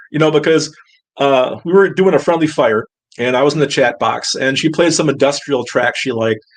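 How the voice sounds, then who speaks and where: A man with an ordinary speaking voice, fairly high in pitch, with ordinary pitch variation and a fairly quick pace. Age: 60s. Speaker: musician, guitarist. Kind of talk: casual chat.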